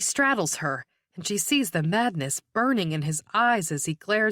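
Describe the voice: Over a quiet background, the plain reading aloud carries lively intonation.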